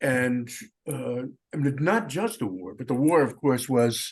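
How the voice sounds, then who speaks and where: A man with an American accent has an unremarkable speaking voice, medium pitch and ordinary pitch variation. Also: quiet background. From US Northeast, Long Island. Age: 60s. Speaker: composer. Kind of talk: panel discussion. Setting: video call.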